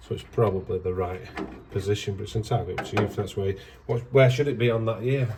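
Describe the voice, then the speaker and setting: A man with a northern English accent and a fairly low pitch, a very fast pace, fairly even intonation and noticeable background noise. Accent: northern English, drops H. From northern England. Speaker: auto electrician. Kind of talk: casual chat while working.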